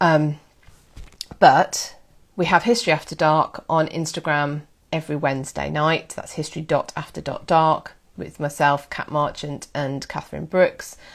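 A woman's very deep, low voice at a moderate pace, with fairly even intonation, big swings in loudness and a very clean recording over a silent background. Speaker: history podcast host. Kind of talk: casual chat.

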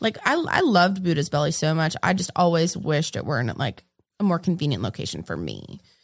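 Vocal fry in a woman's fairly low-pitched voice at a fairly quick pace. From New England. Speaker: street artist and muralist. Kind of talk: casual chat.

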